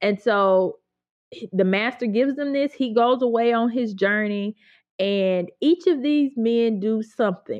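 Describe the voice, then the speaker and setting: A woman with a Mississippi accent speaks in a fairly high voice. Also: ordinary pitch variation, fairly slow pace. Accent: Southern US (Mississippi). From US South, Mississippi (Grenada). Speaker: Bible teacher and writer. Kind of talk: casual interview.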